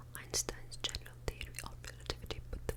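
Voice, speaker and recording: Noticeable background noise runs under the voice. The pace is fairly quick. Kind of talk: ASMR book reading to help listeners sleep. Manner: whispered, soft.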